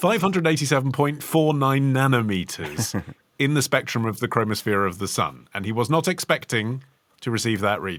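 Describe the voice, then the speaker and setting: A man speaks in an unremarkable speaking voice at a medium pitch, with lively intonation. His pace is fairly quick, and the recording is very clean with a silent background. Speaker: podcast co-host. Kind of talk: history podcast discussion.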